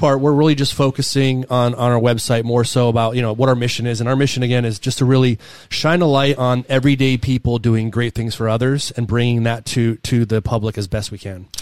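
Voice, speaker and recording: A man with an unremarkable speaking voice talks at a medium pitch. His pace is fairly quick and his intonation fairly even. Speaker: podcast host. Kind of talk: casual chat.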